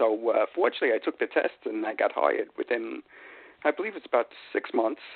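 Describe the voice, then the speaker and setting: A man with a New York accent talks at a fairly quick pace. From New York City, Queens. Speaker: retired police sergeant and author. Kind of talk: radio interview. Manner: hesitant, many fillers.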